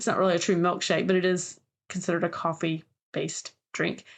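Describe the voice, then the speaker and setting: Someone with an American accent talks at a fairly quick pace. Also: woman. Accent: Southern US, comes through at times. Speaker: podcast co-host, genealogist and family history expert. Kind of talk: casual chat. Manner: halting, many fillers and restarts.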